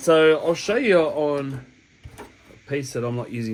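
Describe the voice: Lively intonation marks this man's fairly high-pitched voice.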